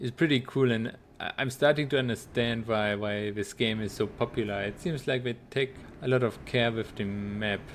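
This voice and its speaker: In a German accent, a man speaks with fairly even intonation. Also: medium pitch for a man, moderate pace. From Germany. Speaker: video game streamer. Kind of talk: casual gaming livestream chat. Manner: halting, repeats words.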